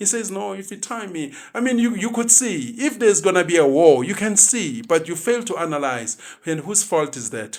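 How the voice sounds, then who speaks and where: With a non-native accent and hardly any pauses, a man talks in a high pitch with an animated tone, very wide pitch swings and big swings in loudness. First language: not English. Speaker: actor and social commentator. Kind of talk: opinionated podcast chat. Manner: fast.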